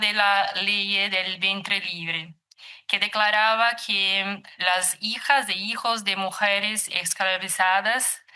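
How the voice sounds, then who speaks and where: The voice has a bright, sharp tone with a Brazilian accent. It moves at a very slow pace. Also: woman. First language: Portuguese (speaking Spanish). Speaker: psychologist and researcher. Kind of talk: lecture. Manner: reading aloud, halting.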